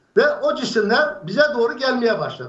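Audible room echo fills the space. Within it, a man talks. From Aksaray, central Anatolia, Turkey; Turkey. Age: 60s. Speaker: UFO eyewitness; witness. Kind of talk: storytelling. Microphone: video call.

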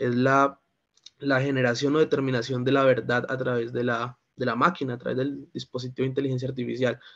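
Over a quiet background, a man talks in a monotone with flat intonation. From Colombia, Valle del Cauca. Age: 20s. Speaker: lawyer and philosophy student; lawyer. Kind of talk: discussion contribution. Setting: video call. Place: home room. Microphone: video call.

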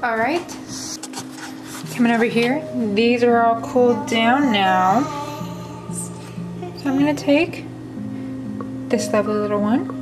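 A woman speaks slowly at a fairly high pitch, with long, frequent pauses and ordinary pitch variation. Room echo is audible, and clear music plays in the background.

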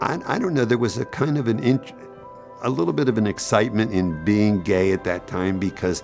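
Faint music plays in the background while a man talks fairly quickly at a fairly low pitch with ordinary pitch variation. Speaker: retired teacher. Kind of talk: documentary interview answer. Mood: reflective, personal memories. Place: studio.

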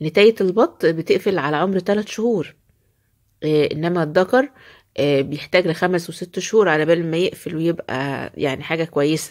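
Against a quiet background, a woman speaks with a fairly low pitch. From Egypt. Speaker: poultry-keeping video creator. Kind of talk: home tutorial. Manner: animated. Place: farm. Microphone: phone near.

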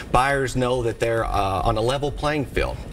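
At a moderate pace, a man speaks with an American accent over light background noise. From Middle Tennessee, United States. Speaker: auctioneer and real estate broker. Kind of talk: TV interview answer. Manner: conversational, explanatory. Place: studio. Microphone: lapel.

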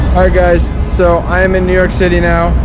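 Music plays behind the speaker. He is a man. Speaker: vlogger. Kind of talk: casual vlog chat. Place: street. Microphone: phone near.

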